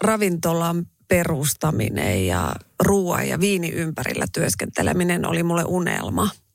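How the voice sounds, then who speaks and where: Speaking at a very slow pace, a woman uses lively intonation. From Finland, Raahe (northern Ostrobothnia). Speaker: radio host and restaurant owner. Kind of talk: interview.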